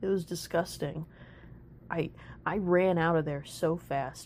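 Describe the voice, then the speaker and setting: This woman's pitch is very deep and low, with vocal fry. She talks at a fairly slow pace. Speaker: furry artist, commentary narrator. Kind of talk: comedic storytime rant. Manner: monotone.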